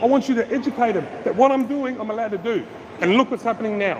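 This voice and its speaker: Loud and very fast, a man with an Australian accent and an extremely high pitch talks with ordinary pitch variation over noticeable background noise. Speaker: street auditor filming public officials. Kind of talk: heated confrontation on camera. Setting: outdoors at a train station.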